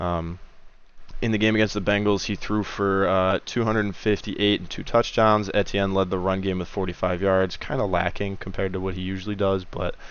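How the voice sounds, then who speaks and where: A man talks at a fairly quick pace and a fairly low pitch. His intonation stays monotone and flat. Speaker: sports betting podcast host. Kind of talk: solo podcast picks rundown. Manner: fast; casual with many filler uhs.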